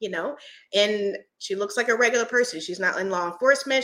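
Recorded very cleanly against a silent background, a woman speaks in a bright, sharp tone with ordinary pitch variation. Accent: American. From US Northeast, Philadelphia. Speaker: firearms content creator. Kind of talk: casual interview chat. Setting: live-streamed podcast recording.

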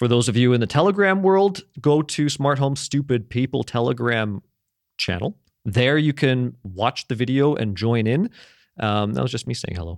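A man with medium pitch and lively intonation speaks at a moderate pace, a plain, everyday voice, on a very clean recording with a silent background and a dry, close sound with no echo. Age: 30s. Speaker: podcast host. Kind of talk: casual chat. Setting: studio.

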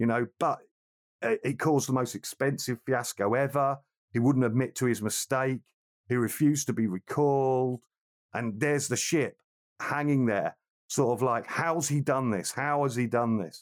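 In a plain, everyday voice, a man of medium pitch talks at a moderate pace with fairly even intonation and very even loudness, the sound dry and close with no echo. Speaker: film podcast co-host. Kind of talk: casual chat. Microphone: new microphone with pop filter, sounds clear.

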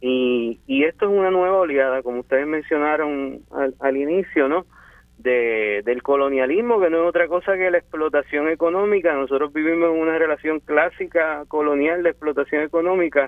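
A man with a normal speaking voice and a fairly high pitch talks at a moderate pace with hardly any pauses. His pitch varies in an ordinary way. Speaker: community leader. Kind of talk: panel discussion. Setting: phone call.

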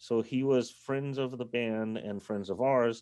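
A man with an American accent talks at a moderate pace in a medium-pitched voice, his dark, mellow tone carrying ordinary pitch variation. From Berkeley, California. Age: 50s. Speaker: rock bass player. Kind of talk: casual interview. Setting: video call from a car.

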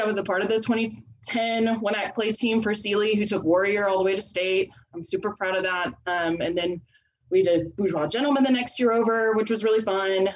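This woman has an ordinary speaking voice, pitched in the medium range and delivered at a fairly quick pace. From Texas. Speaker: theatre teacher. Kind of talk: casual chat.

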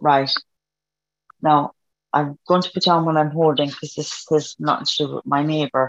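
The speaker has an Irish accent and keeps a moderate pace. Long pauses come often. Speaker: audience member receiving reading.

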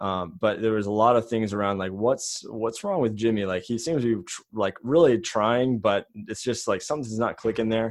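An unremarkable speaking voice, a man at medium pitch with fairly even intonation and a fairly quick pace, against a quiet background. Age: 20s. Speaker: entrepreneur. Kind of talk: interview.

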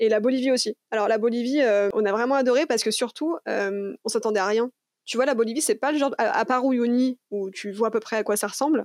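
A woman with a normal speaking voice talks at a fairly quick pace and a fairly high pitch, her intonation fairly even, in a dry, close recording with no echo. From France, Lyon. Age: 30s. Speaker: traveller. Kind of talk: interview.

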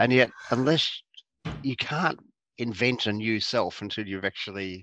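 A man with an Australian accent and a bright, sharp tone, ordinary pitch variation, a dry, close sound with no echo and a quiet background. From Australia, Geelong, Victoria. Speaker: clinical psychologist. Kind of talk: interview.

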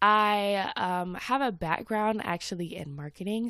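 A woman speaks at a fairly slow pace with ordinary pitch variation. Her tone is animated. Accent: American. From US South, Atlanta. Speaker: podcast host and social media creator. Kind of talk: casual chat.

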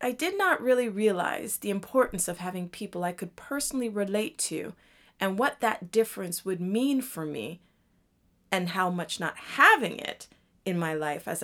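A woman speaks in an ordinary speaking voice at medium pitch and a moderate pace. Her intonation is lively, and her loudness swings widely. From Toronto, Canada, Jamaican family. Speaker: podcast host and mother of twins. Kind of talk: monologue introducing the podcast.

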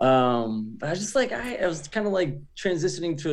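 Lively intonation marks the speech of a man with an American accent. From US Northeast, suburb of Providence, Rhode Island. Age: 40s. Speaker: rapper. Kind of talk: interview.

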